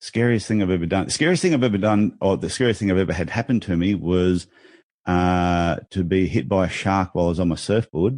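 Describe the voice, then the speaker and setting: With an Australian accent, a man talks at a fairly quick pace, his very deep, low pitch held at very even loudness. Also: ordinary pitch variation. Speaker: business speaker and author. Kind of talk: podcast interview. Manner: animated.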